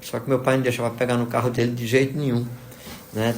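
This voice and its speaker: The man's voice sits at a medium pitch. Room echo can be heard around it. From Brazil, moved among several states (military family). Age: 60s. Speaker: physics professor. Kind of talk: interview, life story. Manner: hesitant, many fillers (né, tá, entendeu).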